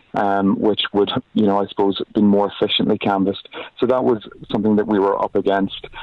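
A man talks at a fairly quick pace in a fairly low pitch. His intonation is monotone and flat, and his loudness stays very even. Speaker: pro-choice campaign canvasser. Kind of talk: interview.

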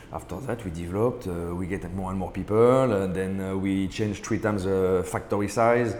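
Speaking at a moderate pace with hardly any pauses, a man with a French accent has a very deep, low pitch and fairly even intonation, and there is audible room echo. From France, Paris. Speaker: ice cream business owner. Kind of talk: interview. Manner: halting.

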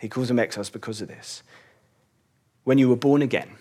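A medium-pitched man with an English accent. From England. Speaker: church elder and preacher. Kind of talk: sermon.

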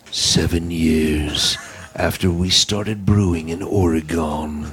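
In a put-on character voice with a dramatic tone, a man speaks at a fairly slow pace with a very deep, low pitch. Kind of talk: trailer narration.

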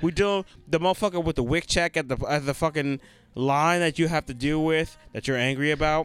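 In a very clean recording with a silent background, a man with an ordinary speaking voice and fairly high pitch talks at a fairly quick pace with fairly even intonation, the sound dry and close with no echo. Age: 30s. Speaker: podcast co-host. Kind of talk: casual chat.

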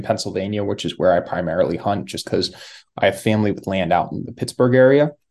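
A normal speaking voice with ordinary pitch variation against a quiet background. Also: man. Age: 30s. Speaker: hunter. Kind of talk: casual chat.

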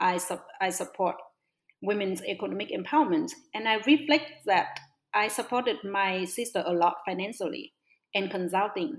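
A woman with a Vietnamese accent, medium pitch, lively intonation and a moderate pace. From northwest Vietnam. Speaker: social entrepreneur. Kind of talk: interview. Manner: halting, hesitant.

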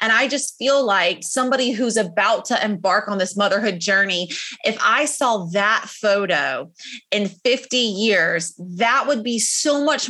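An ordinary speaking voice from a woman with an American accent, fairly high in pitch, fairly slow, with ordinary pitch variation. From South Carolina. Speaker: photographer. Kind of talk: casual interview chat.

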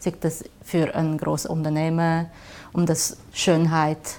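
A woman speaks with a very deep, low pitch. Her pace is very slow and her tone is dark and mellow. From China, Shanghai. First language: Chinese (speaking German). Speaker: graphic designer. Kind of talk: interview. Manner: halting.

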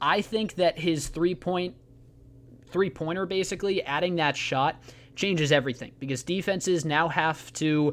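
A man's normal speaking voice at a fairly high pitch and a moderate pace. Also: very clean recording, silent background. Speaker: radio host. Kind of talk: radio dj patter. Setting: radio studio broadcast. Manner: brisk, upbeat sports-radio host delivery, polished show intros and sign-offs.

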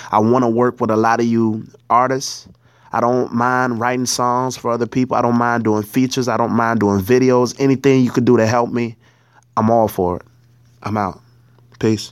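A man's medium pitch and monotone, flat intonation at a moderate pace, on a very clean recording with a silent background. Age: 20s. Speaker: rapper and poet, military veteran. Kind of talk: self-introduction monologue.

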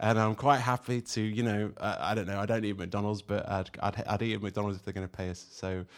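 At a fairly quick pace, a plain, everyday voice speaks with fairly even intonation over a very clean recording with a silent background. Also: man. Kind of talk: casual chat.

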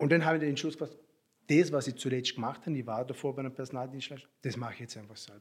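A man's medium-pitched voice at a very fast pace, with fairly even intonation and big swings in loudness. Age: 30s. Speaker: recruitment business owner. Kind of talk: interview. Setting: office.

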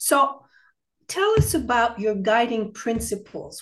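Over a quiet background, a woman speaks very slowly with lively intonation and a somewhat breathy voice. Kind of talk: casual chat.

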